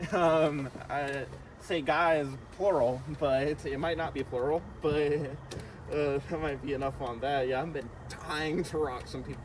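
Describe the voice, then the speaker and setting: A man with a fairly high voice talks at a fairly slow pace, leaving long, frequent pauses. Noticeable background noise and audible room echo surround him. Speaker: podcast co-host. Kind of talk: casual chat. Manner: energetic.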